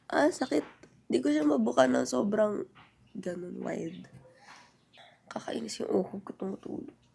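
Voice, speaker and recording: Against noticeable background noise, a woman talks at a moderate pace with long, frequent pauses. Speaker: lifestyle vlogger. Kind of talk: casual vlog talk. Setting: at home. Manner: chatty, halting with fillers.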